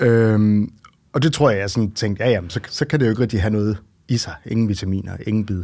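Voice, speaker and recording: A man with a dark, mellow tone speaks at a fairly quick pace and a fairly low pitch. His pitch variation is ordinary, and the recording is very clean with a silent background. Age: 40s. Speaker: romance reader. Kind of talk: casual interview. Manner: hesitant, many fillers.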